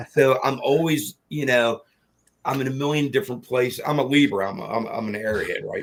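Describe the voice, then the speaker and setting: At medium pitch, a man uses an ordinary speaking voice with ordinary pitch variation. His pace is fairly quick. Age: 60s. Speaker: horror filmmaker and craftsman. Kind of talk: interview. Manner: rambling, with many fillers and restarts.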